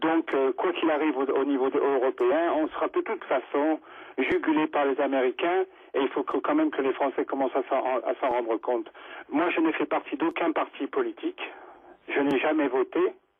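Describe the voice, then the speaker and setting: A man speaks at a moderate pace. His loudness stays very even. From Monaco. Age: 50s. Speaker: radio caller. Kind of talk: call-in opinion. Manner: halting, many repetitions.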